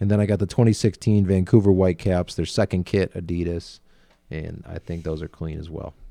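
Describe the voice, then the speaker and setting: A man's very deep, low voice, dark and mellow in tone, with a slight Buffalo accent, a moderate pace, fairly even intonation and a dry, close sound with no echo. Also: big swings in loudness. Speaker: podcast host. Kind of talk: casual chat.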